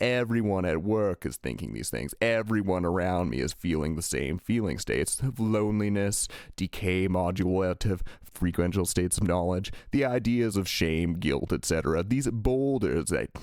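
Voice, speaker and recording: With a very deep, low pitch and lively intonation, a man speaks at a moderate pace in a very clean recording with a silent background. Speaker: spiritual channeler. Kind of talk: channeled message.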